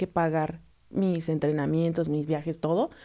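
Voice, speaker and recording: A woman with a dark, mellow tone at a moderate pace, in a very clean recording with a silent background. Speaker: figure skating instructor and club founder. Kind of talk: interview.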